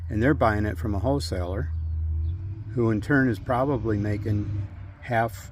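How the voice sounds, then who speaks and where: A man with an American accent speaks at a moderate pace in a fairly low, somewhat breathy voice with ordinary pitch variation. He leaves long, frequent pauses amid audible room echo. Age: 60s. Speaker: retired firefighter and farmer. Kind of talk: tutorial. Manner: casual, conversational.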